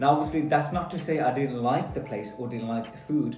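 A man's voice with audible room echo and faint music in the background. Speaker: food reviewer. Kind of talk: casual vlog chat.

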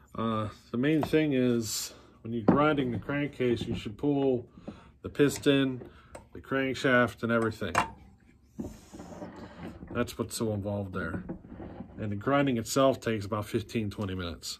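A man at a moderate pace, with ordinary pitch variation, long and frequent pauses, and noticeable background noise. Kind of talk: tutorial. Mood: relaxed, wrapping up. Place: workshop. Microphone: phone near.

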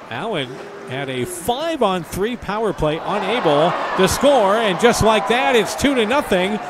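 A man with a high pitch and very wide pitch swings speaks at a fairly slow pace over noticeable background noise. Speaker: hockey play-by-play announcer. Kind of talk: live hockey commentary. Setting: arena broadcast of a game.

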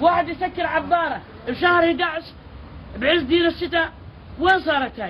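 Over light background noise, a woman talks at an extremely high pitch, leaving long, frequent pauses. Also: ordinary pitch variation, moderate pace. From Jordan. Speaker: flood-affected resident. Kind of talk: field interview. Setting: outdoors. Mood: indignant complaint. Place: street.

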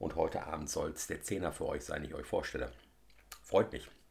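A man's voice with vocal fry, at a fairly quick pace. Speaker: whisky reviewer. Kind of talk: casual vlog chat, tasting review. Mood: relaxed, friendly. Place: home room. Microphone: phone near.

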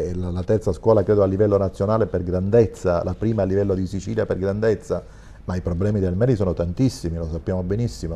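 Speaking at a fairly quick pace, a man with a very deep, low pitch and a dark, mellow tone keeps his intonation fairly even. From Sicily. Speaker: school principal; guest. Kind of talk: TV talk show discussion. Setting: studio. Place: studio. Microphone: lapel.

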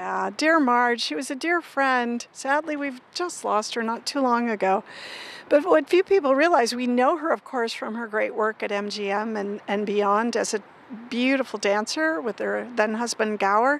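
A woman talks at a fairly slow pace in a high pitch. The sound is dry, with no echo. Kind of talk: interview answer. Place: street. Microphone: handheld.

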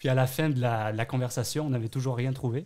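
The voice has a dark, mellow tone and moves at a fairly quick pace. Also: man, quiet background. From Bayonne, southwest France; France. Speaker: French immigrant, hospitality worker. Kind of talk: interview. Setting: studio. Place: studio.

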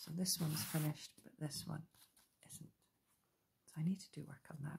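Soft-spoken and at a moderate pace, the speaker is heard over light background noise. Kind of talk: casual craft chat. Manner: soft, hushed ASMR talking. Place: home room.

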